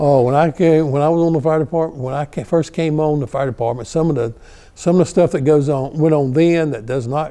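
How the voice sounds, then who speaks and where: A man speaks with a North Carolina accent. His pitch sits fairly high. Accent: Southern US (North Carolina). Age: 70s. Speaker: retired fire battalion chief. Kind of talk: oral history interview. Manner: halting, many fillers and repeats.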